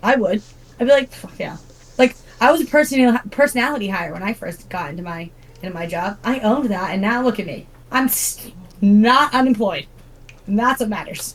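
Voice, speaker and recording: A woman talks at a fairly quick pace with lively intonation, broken by long, frequent pauses. Noticeable background noise runs behind her. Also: fairly high pitch for a woman, big swings in loudness. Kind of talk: casual chat. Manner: loud; animated.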